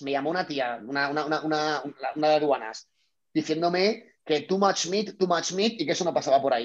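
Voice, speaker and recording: A man's normal speaking voice, fairly high in pitch, with ordinary pitch variation. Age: 30s. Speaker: startup founder. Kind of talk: casual interview.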